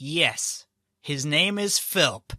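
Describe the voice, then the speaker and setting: This man is doing a put-on character voice. His pitch sits fairly high. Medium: actual play. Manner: hesitant, nervous.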